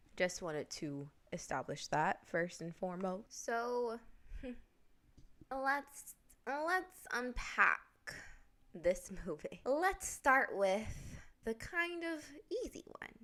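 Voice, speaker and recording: A woman with a Chicago accent and a high pitch speaks at a very slow pace, with very wide pitch swings, big swings in loudness, and long, frequent pauses. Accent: Chicago vowels. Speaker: film review youtuber. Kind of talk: casual video commentary.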